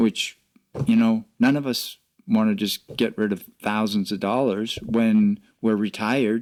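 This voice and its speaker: An unremarkable speaking voice from a man at medium pitch, fairly slow and fairly even in intonation, in a dry, close sound with no echo. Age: 60s. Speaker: podcast co-host, financial advisor. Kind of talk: casual podcast discussion.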